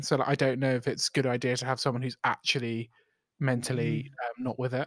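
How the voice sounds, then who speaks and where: Speaking at a very fast pace, a man uses a medium pitch and fairly even intonation in a North London accent. The sound is dry and close with no echo. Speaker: podcast co-host.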